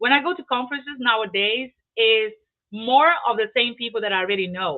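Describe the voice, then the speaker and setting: A woman speaks in a high pitch with a Portuguese accent. Her pitch varies in an ordinary way. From Brazil. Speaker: real estate investor. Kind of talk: interview. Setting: live online video stream. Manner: halting, with many repeated words.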